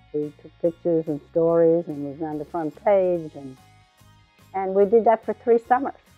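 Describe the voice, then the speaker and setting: With music in the background, a woman speaks at a fairly low pitch with ordinary pitch variation. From Newfoundland, Canada. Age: 80s+. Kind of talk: interview answer.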